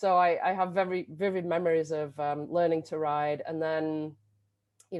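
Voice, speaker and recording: With an English accent, a woman speaks at a moderate pace in a fairly low pitch with monotone, flat intonation. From England. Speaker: bike education director. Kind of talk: video interview.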